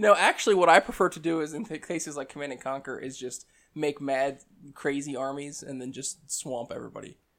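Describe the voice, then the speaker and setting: A man speaks at a fairly quick pace in a normal speaking voice. His pitch is fairly high, with ordinary pitch variation. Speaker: hobby gamer guest. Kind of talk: casual chat.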